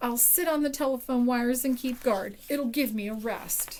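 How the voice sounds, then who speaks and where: A woman's put-on character voice, high-pitched, at a moderate pace over clear background noise. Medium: read story.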